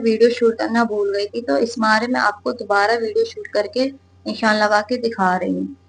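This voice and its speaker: A woman's voice, fairly high in pitch. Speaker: sewing teacher. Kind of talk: sewing tutorial talk to camera.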